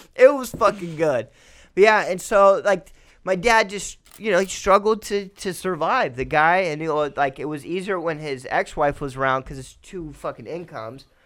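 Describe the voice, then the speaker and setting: An animated man speaks at a high pitch, his loudness swinging widely. The recording is very clean, with a silent background. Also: lively intonation, moderate pace. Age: 20s. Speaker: podcast guest. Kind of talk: casual chat.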